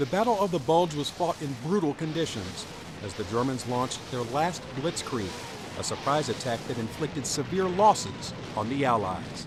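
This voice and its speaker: Over music in the background, a man with a fairly high pitch talks at a moderate pace with very wide pitch swings. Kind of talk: documentary narration.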